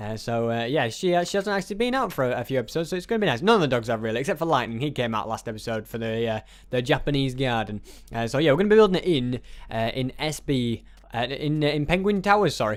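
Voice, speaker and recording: With a British accent, a man speaks at a very fast pace with lively intonation on a very clean recording with a silent background. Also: medium pitch for a man. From England. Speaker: gaming YouTuber. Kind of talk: let's play commentary. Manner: halting, many fillers.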